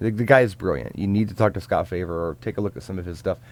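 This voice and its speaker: A man speaks with a Midwestern US accent. His pitch is fairly low, with ordinary pitch variation. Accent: US Midwest. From US Midwest, Richmond, Indiana. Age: 40s. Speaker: DJ. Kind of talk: live Q&A stream. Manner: casual, halting.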